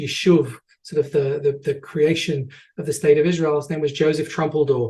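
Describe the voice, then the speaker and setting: With an English accent, a man speaks at a fairly high pitch in a dark, mellow, somewhat breathy tone. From England. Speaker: tour guide and educator. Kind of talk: online presentation with audience questions. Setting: online video presentation. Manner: hesitant, many fillers and repetitions.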